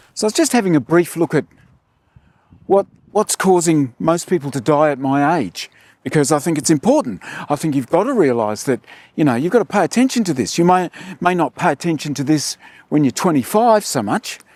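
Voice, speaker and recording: A man with an unremarkable speaking voice speaks at a fairly high pitch with lively intonation. The sound is dry and close with no echo. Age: 60s. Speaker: health and fitness vlogger. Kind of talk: casual monologue to camera.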